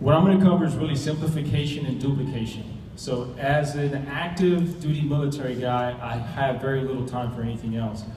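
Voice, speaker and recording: Through audible room echo and noticeable background noise, a man with a fairly high pitch talks at a fairly quick pace with hardly any pauses. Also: ordinary pitch variation. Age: 40s. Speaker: navy special forces instructor and network marketing associate. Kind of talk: presentation to an audience. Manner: mumbling.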